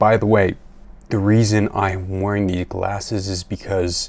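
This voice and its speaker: Soft-spoken, a man talks at a fairly slow pace in a fairly low pitch. His intonation stays fairly even. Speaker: science video creator. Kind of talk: video commentary on research. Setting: at home at night. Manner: quiet, soft-spoken. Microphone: new microphone.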